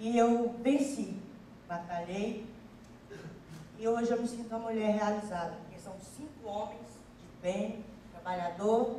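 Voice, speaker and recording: Amid audible room echo and light background noise, a woman talks at a fairly slow pace with fairly even intonation. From Piauí, Brazil. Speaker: audience member, comedian's mother. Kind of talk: spontaneous testimony on stage. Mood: proud, emotional. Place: stage. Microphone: handheld.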